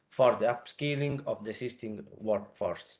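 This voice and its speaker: This man has an Italian accent and a medium pitch. He speaks at a moderate pace. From Italy. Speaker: consultant presenting a funding call. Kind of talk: webinar presentation. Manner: hesitant, many filler sounds.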